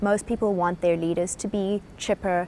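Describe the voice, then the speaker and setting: With a South African accent, a woman talks at a moderate pace and medium pitch in a flat, monotone intonation. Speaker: business speaker. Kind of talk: lecture.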